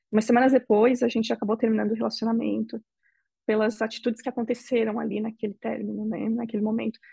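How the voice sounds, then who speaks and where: With a dry, close sound and no echo, a woman speaks very fast at a fairly high pitch, her dark, mellow tone carrying vocal fry and a monotone, flat intonation. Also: quiet background. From Brazil. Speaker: interviewee. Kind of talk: interview testimony. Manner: halting.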